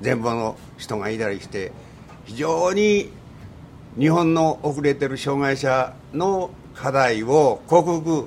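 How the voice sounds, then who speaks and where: Very slowly, with long, frequent pauses, a man speaks at a fairly high pitch and with lively intonation. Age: 80s+. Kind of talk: radio interview. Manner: clear, articulate.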